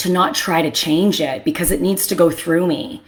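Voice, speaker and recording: This woman sounds animated. She speaks loudly. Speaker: therapist. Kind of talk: casual monologue.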